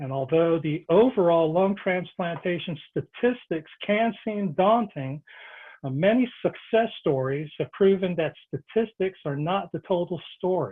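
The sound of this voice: A man talks at a fairly slow pace. His voice is high in pitch, with ordinary pitch variation.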